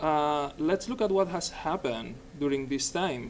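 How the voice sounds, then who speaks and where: At a fairly slow pace, a man with a Spanish accent speaks with ordinary pitch variation. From Spain, Barcelona. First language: Spanish or Catalan. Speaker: software developer, conference speaker. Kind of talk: technical presentation.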